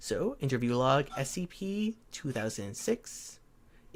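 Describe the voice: What you hear is plain reading aloud.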